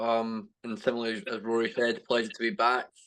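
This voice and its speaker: The speaker talks at a fairly quick pace with a Scottish accent. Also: man. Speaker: sports coach and athlete. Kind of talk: panel discussion.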